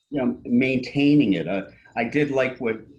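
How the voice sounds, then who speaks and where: Vocal fry in a man's medium-pitched voice, with an American accent. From US Northeast, Princeton New Jersey. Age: 60s. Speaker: local resident commenting at public meeting. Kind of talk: public comment at municipal meeting. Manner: halting, many fillers.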